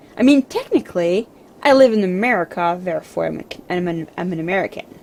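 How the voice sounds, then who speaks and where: Over noticeable background noise, a woman talks at a very fast pace with lively intonation and big swings in loudness. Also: medium pitch for a woman. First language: French. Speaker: video game streamer. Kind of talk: casual chat. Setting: livestream.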